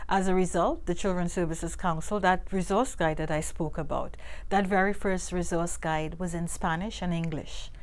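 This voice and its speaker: In a Caribbean accent, a woman with a fairly low pitch speaks at a moderate pace with fairly even intonation and hardly any pauses, her voice carrying audible room echo. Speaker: nonprofit public affairs director. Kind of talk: interview.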